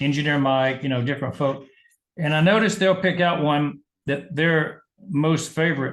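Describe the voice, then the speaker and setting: A man with a Southern US accent, moderate pace, ordinary pitch variation. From US South, Georgia. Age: 70s. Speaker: medical doctor and business leader. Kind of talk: interview.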